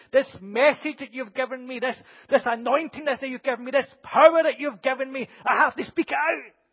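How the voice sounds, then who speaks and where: Fairly quick delivery with fairly even intonation and big swings in loudness. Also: man, extremely high pitch for a man. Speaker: preacher. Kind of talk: sermon. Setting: church with congregation.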